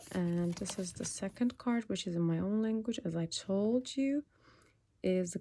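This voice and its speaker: A woman speaks at a very slow pace in a dark, mellow tone with medium pitch. The recording is very clean, with a silent background. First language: Turkish. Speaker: tarot reader. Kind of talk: collective tarot reading. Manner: halting, searching for words.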